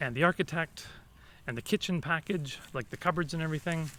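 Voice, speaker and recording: Loud and bright with a sharp tone, a man with a Canadian accent speaks at a moderate pace and a high pitch. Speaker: vlogger. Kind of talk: casual vlog talk.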